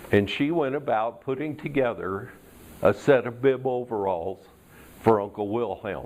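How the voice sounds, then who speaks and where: This is a man with a plain, everyday voice. His pitch is medium, with ordinary variation. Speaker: Toastmasters speaker. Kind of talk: tall tale storytelling speech.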